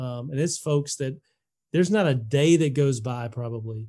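A man speaks at a moderate pace with an Alabama accent. His pitch is fairly high and his tone is dark and mellow. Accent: Southern US (Alabama). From Alabama, US South. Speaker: sports ministry leader and podcast host. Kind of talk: casual interview.

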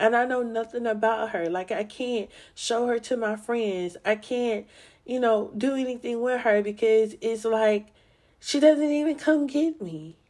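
The recording is very clean, with a silent background. A woman speaks at a fairly slow pace with a fairly high pitch and ordinary pitch variation. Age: 30s. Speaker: podcast host. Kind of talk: personal testimony. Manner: emotional, halting with sighs.

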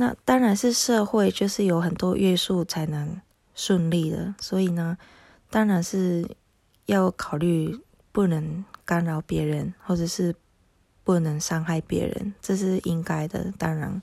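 A woman speaks very slowly with a Japanese accent in a fairly low pitch, with ordinary pitch variation. Her dark, mellow tone is somewhat breathy, and the recording is very clean with a silent background. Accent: Japanese-accented Mandarin. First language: Japanese (speaking Chinese). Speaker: podcaster, homeschooling mother. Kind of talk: casual monologue. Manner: halting, many fillers.

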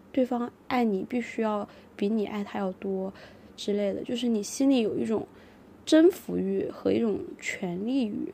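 Using a plain, everyday voice, a woman speaks at a moderate pace in a fairly high pitch with ordinary pitch variation. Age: 30s. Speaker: podcast co-host. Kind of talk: casual chat.

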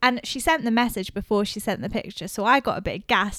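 A plain, everyday voice talks at a fairly quick pace with ordinary pitch variation, captured in a very clean recording against a silent background. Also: woman. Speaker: podcast host. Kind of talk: casual chat.

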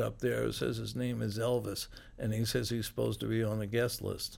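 Captured in a very clean recording with a silent background, a man with an American accent speaks at a moderate pace. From Philadelphia, US. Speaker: rock musician. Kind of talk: interview. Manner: laughs often.

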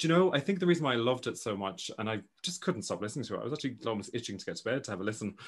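Over a quiet background, a man with an Irish accent speaks at a very fast pace and medium pitch with very wide pitch swings. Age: 30s. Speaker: podcast host. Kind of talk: casual chat.

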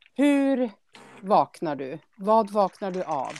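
The sound is dry and close, without any echo. A woman talks with very wide pitch swings. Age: 50s. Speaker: podcast host. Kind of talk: casual chat.

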